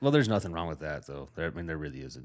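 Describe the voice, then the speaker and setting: A man with an American accent speaks in a very deep, low pitch with vocal fry. The recording is very clean, with a silent background. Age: 30s. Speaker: podcast host. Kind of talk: casual chat. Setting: studio.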